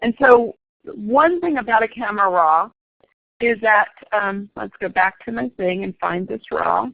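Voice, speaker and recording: A woman with vocal fry and lively intonation speaks at a fairly slow pace. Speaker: photography instructor. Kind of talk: lecture. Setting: classroom.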